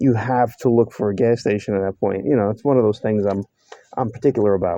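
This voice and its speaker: In a New York accent, a man speaks fairly quickly with fairly even intonation and a dark, mellow tone, the sound dry and close with no echo. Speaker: mechanic. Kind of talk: workshop tutorial. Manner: casual, halting with fillers.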